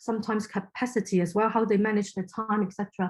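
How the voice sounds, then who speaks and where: In a Cantonese accent, a woman with a fairly high pitch speaks somewhat breathily and with fairly even intonation on a very clean recording with a silent background. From Hong Kong. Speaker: inclusion consultant. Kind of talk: podcast interview. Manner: halting.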